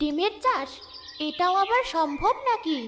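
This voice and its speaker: This cartoonish character voice sounds female and is extremely high in pitch. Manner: gentle, kindly.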